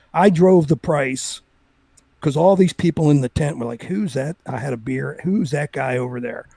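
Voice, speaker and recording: The tone is dark and mellow, with a somewhat breathy quality. The sound is dry and close, without any echo. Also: man, fairly high pitch for a man, ordinary pitch variation, moderate pace. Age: 60s. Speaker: crypto market analyst. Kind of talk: casual chat.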